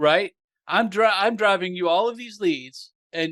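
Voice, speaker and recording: A man with a Southern US accent talks at a fairly slow pace, with ordinary pitch variation. The recording is very clean, with a silent background and a dry, close sound with no echo. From US South. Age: 60s. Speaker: marketing podcast host. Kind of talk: interview, casual chat.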